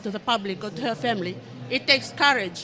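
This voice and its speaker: A woman with a fairly high voice speaks at a very fast clip over noticeable background noise. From Fiji. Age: 30s. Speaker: audience member living with HIV. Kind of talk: testimony. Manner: halting, many fillers.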